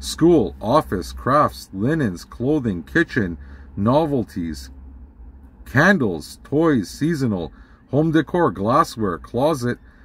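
A man speaking at a very slow pace, somewhat breathy, in a dry sound with no echo. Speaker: vlogger. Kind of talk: casual vlog rant. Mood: annoyed, indignant. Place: car. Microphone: phone near.

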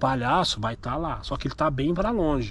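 A man speaks in a dry recording with no echo. Light background noise sits underneath. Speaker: vlogger. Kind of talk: casual vlog chat, reassuring a child. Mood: calm, persuasive. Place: street. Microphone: phone near.

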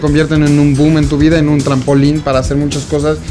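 Clear music plays in the background as a man speaks at a fairly quick pace and a fairly high pitch. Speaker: interviewer, show host. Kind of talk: interview question. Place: home room.

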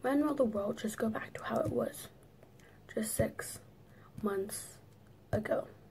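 A fairly slow pace broken by long, frequent pauses. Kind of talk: spoken word poetry reading.

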